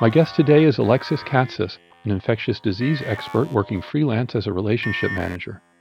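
Music plays in the background as a man speaks very fast with lively intonation. His voice sits at a medium pitch. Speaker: podcast host. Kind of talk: interview.

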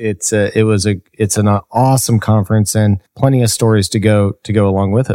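With a dark, mellow tone and fairly low pitch, a man speaks at a fairly quick pace with hardly any pauses, monotone, flat intonation and very even loudness, in a dry, close sound with no echo. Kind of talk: casual chat.

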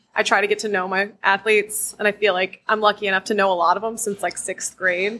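A woman with an American accent, very fast, bright and sharp in tone, monotone and flat in intonation. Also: medium pitch for a woman. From US Mid-Atlantic, Maryland. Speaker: high school field hockey coach. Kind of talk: interview.

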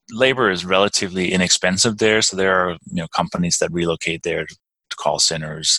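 Fairly quick delivery in a Danish accent, bright and sharp in tone, with fairly even intonation. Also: man. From Denmark. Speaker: real estate investor. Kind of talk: interview. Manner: halting.

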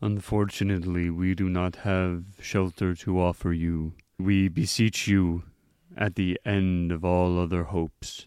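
A man does a put-on character voice, very deep and low, at a fairly slow pace. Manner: sad, solemn, formal.

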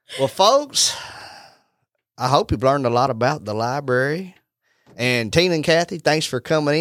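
Over a very clean recording with a silent background, a man with a Southern US accent speaks at a moderate pace. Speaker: real estate agent and podcast host. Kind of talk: casual chat.

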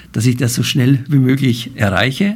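This man's delivery has a moderate pace. There is some breathiness in his voice. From Bavaria, Germany. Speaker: banker, president of a financial-centre association. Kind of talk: interview. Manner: hesitant, many filler sounds.

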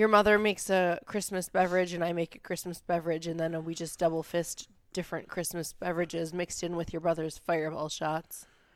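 The speaker's voice is monotone with flat intonation, moving at a fairly quick pace with hardly any pauses in a very clean recording with a silent background. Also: woman, fairly low pitch for a woman. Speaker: podcast host. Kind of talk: casual chat. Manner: loud at times.

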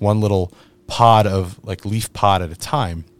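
The recording is very clean and its background silent. A man speaks in it. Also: dry, close sound with no echo. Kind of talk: casual chat. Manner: energetic.

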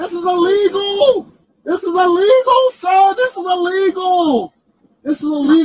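A put-on character voice, shrill and extremely high in pitch, at a moderate pace. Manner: pleading, screeching.

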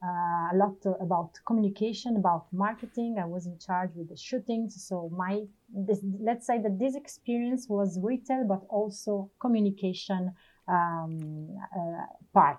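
Moderate-paced speech from a woman at medium pitch, with ordinary pitch variation and an Italian accent. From Italy. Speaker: retail operations manager. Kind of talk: interview.

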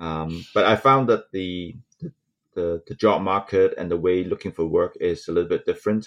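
The man's voice is very deep and low. His pitch varies an ordinary amount. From Hong Kong. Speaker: engineer and mentor. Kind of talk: interview, casual conversation. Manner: halting, with many fillers.

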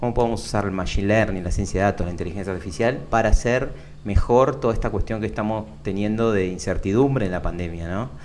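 Through audible room echo, a man speaks at a very fast pace. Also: fairly low pitch for a man, ordinary pitch variation. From Argentina, Buenos Aires (Lomas de Zamora). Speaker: tech entrepreneur. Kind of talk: interview.

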